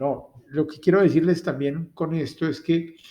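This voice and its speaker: This man speaks at a moderate pace in a somewhat breathy voice. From Latin America. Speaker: university lecturer. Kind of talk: lecture.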